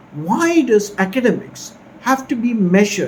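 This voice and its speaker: A man's voice rises and falls in very wide pitch swings amid noticeable background noise. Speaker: academic vlogger. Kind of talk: casual commentary. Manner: whispering.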